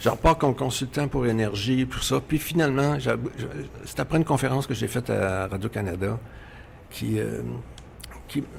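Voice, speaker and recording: This man talks at a moderate pace, his intonation lively. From Quebec. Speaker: radio executive. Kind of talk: interview.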